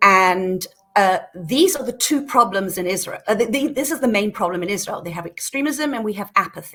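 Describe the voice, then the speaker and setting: With a British accent, a woman speaks at a fairly high pitch. Her pace is fairly quick and her intonation lively. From Britain. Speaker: peace activist. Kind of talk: podcast interview. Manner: hesitant, many fillers.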